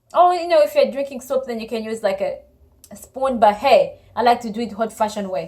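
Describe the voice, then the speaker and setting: Her pitch high and her intonation lively, a woman with an African accent moves at a fairly quick pace with big swings in loudness. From Congo. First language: Congolese languages (not English). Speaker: couple vlogger. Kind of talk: casual chat.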